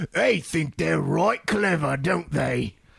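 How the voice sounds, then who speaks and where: A man puts on a character voice with a raspy sound. He speaks at a fairly slow pace. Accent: Cockney. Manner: sly, mocking.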